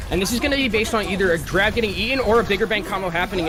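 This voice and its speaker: A man's raised, projected voice, high in pitch with ordinary pitch variation, at a very fast pace, with audible room echo and music in the background. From France. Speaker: esports caster. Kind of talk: live commentary.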